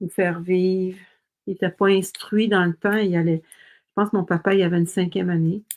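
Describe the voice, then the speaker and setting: In a Quebec accent, a woman speaks with monotone, flat intonation against a quiet background, the sound dry and close with no echo. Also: medium pitch for a woman. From Quebec, Montreal. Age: 60s. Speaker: craft demonstrator. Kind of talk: live-stream craft tutorial. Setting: live stream. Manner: casual, chatty.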